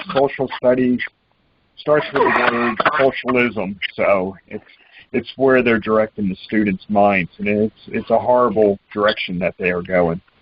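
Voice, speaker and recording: This is a normal speaking voice with ordinary pitch variation. The pace is fairly slow. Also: man, medium pitch for a man. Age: 60s. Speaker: political talk show host. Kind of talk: call-in political talk show.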